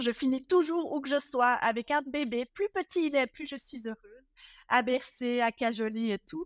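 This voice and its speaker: A high-pitched woman with lively intonation at a moderate pace, in a dry, close sound with no echo on a very clean recording with a silent background. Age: 40s. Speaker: professional home organizer. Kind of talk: casual interview chat.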